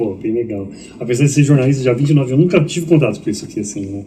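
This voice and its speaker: A man talks at a very fast pace in a medium-pitched, somewhat breathy voice with a dark, mellow tone. Audible room echo surrounds him. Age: 50s. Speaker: journalist and preacher. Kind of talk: casual interview, testimony. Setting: podcast studio. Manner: halting, repeats words.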